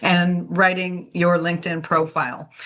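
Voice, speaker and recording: A woman at a medium pitch and a fairly slow pace, against noticeable background noise. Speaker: career coach and resume writer. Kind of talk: webinar presentation. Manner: energetic; casual with fillers.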